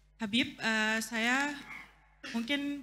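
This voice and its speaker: A woman's voice with a bright, sharp tone comes through with audible room echo. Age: young. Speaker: audience member asking a question. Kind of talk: Q&A question at religious talk. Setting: mosque gathering. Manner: halting, many fillers.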